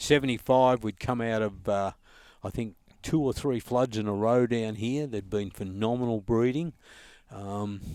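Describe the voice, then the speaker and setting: On a very clean recording with a silent background, a man with an Australian accent speaks at a moderate pace and medium pitch with ordinary pitch variation. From Australia, Sale, eastern Victoria. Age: 70s. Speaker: duck hunter and conservationist. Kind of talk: casual interview. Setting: outdoors in the bush.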